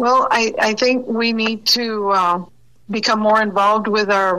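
A woman with an American accent speaks at a fairly slow pace in a fairly high pitch. She has an unremarkable speaking voice and fairly even intonation. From Texas border, Del Rio. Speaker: border resident, former customs worker. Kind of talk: radio interview.

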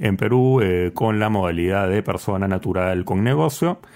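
A normal speaking voice from a man, fairly low in pitch, with ordinary pitch variation at a moderate pace. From Peru. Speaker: board game distributor. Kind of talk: interview.

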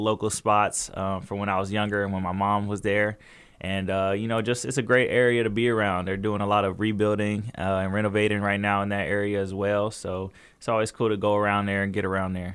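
Flat and monotone, a man with an American accent talks at a fairly quick pace with a fairly low pitch. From Southern California, Inland Empire. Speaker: professional basketball player. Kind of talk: interview.

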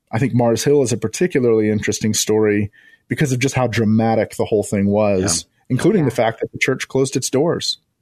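A man with an ordinary speaking voice, medium pitch, ordinary pitch variation and a fairly quick pace, over a quiet background. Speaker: podcast producer and former pastor. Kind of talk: radio interview.

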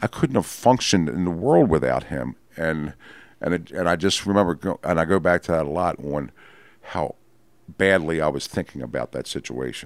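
An American accent with some vocal fry. The pitch moves in an ordinary way at a moderate pace. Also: man, very deep, low pitch for a man. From Baltimore, Maryland. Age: 50s. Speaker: person in addiction recovery. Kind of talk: testimony. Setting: dining room at host's home. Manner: halting.

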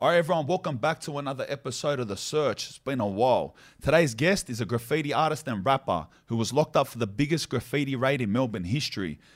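A man with an Australian accent talks at a very fast pace and medium pitch. His intonation is lively, and the recording is very clean with a silent background. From inner Sydney, Australia. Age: 30s. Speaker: podcast host. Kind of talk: casual interview chat; scripted intro.

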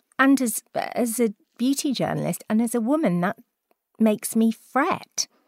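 In a Welsh accent, a woman speaks with lively intonation, the sound dry and close with no echo. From South Wales. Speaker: beauty podcast host and journalist. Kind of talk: casual chat.

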